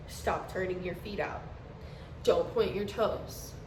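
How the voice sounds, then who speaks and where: There is noticeable background noise and audible room echo. A woman with a medium pitch speaks at a fairly slow pace. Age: 20s. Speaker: dance teacher and vlogger. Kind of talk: casual vlog.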